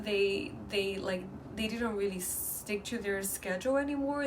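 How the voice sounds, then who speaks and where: Amid noticeable background noise and audible room echo, a woman with a Chinese accent and a medium pitch speaks at a fairly slow pace. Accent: Mandarin Chinese accent in English. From mainland China. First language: Mandarin. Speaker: vlogger. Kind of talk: casual vlog talk. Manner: halting, with many fillers and restarts.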